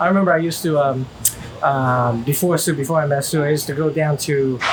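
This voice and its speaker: Over noticeable background noise, a man talks at a very fast pace in a fairly high pitch. His loudness stays very even and his intonation fairly even. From China. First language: Chinese. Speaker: vlogger interviewed about his relationship. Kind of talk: casual interview chat. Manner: halting, many fillers and restarts.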